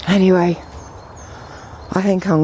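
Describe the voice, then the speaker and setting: A woman mumbling in an English accent, with noticeable background noise. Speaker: vlogger. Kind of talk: casual monologue. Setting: outdoors.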